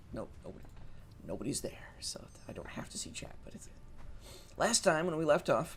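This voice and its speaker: Whispering and mumbling, a man speaks with long, frequent pauses and big swings in loudness. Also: moderate pace. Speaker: gaming streamer. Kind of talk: let's play commentary. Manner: hesitant, many filler words.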